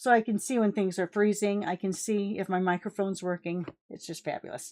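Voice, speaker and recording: A woman's unremarkable speaking voice at a medium pitch, fairly quick in pace with fairly even intonation, dry and close with no echo. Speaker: crafting tutorial host. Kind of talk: tutorial.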